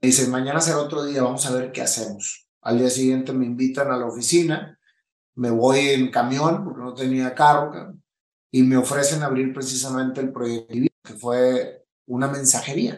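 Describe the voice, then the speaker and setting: A man speaks with a northern Mexican accent at a medium pitch. His pace is moderate and his intonation fairly even. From Mexico, Monterrey. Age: 50s. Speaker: entrepreneur and motivational speaker. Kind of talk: interview testimony. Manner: casual, slangy.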